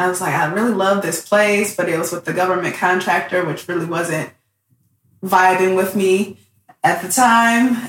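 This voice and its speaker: This woman has a plain, everyday voice, medium in pitch, with an American accent. She keeps a moderate pace and fairly even intonation. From Detroit, Michigan. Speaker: aerospace engineer and STEAM educator. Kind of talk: casual interview. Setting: in person at guest's home.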